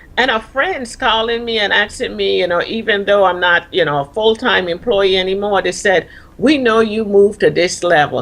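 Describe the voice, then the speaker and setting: A woman of medium pitch speaks with a Caribbean accent and ordinary pitch variation. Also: moderate pace. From Caribbean, Virgin Islands. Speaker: retired army officer and leadership coach. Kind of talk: TV interview.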